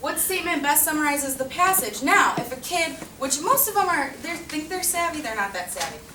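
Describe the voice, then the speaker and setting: A woman with a high pitch uses a raised, projected voice, lively intonation and a fairly quick pace. Noticeable background noise and audible room echo fill the recording. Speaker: teacher. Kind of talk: presentation. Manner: fast.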